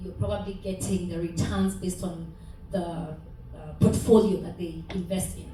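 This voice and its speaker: A woman's medium-pitched voice at a moderate pace, fairly even in intonation, with noticeable background noise and audible room echo. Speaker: audience member asking a question. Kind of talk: audience question. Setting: meeting hall with audience.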